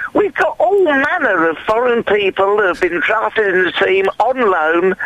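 Pitched high for a man, his voice has lively intonation and very even loudness, with noticeable background noise. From Watford, Hertfordshire. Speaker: caller, football fan. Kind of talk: phone-in chat. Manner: halting.

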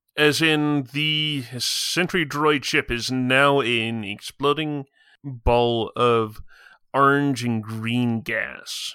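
The tone is bright and sharp, with fairly even intonation. The delivery comes at a very slow pace. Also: man, medium pitch for a man. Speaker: game master. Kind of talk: tabletop roleplaying podcast.

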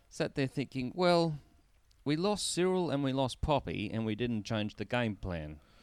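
With an Australian accent, a man speaks in very wide pitch swings. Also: medium pitch for a man, moderate pace. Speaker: co-host, football fan. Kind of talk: casual banter, sports recap. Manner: joking, teasing.

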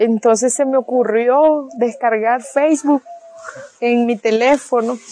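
Her voice sits high, and its pitch moves up and down in an ordinary way. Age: 30s. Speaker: single mother and beautician. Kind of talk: personal testimony. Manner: hesitant, with frequent fillers.

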